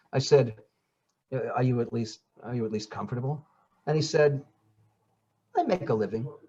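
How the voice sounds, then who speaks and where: A somewhat breathy man at medium pitch, with ordinary pitch variation, a fairly quick pace and long, frequent pauses. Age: 60s. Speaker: actor, audiobook narrator and acting coach. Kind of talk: casual chat.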